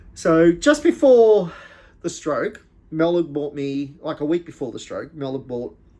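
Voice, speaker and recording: Here a man is speaking. His tone is dark and mellow. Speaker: whisky reviewer, stroke survivor. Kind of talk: casual vlog talk. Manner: halting, repeating words.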